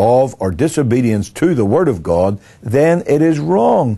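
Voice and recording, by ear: In a medium pitch, a man talks with lively intonation, a dark, mellow tone, a slightly husky edge and vocal fry.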